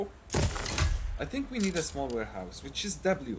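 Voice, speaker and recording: Speaking at a moderate pace, the man has a non-native accent. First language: not English. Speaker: gaming video creator. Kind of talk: gameplay commentary. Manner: hesitant, many fillers.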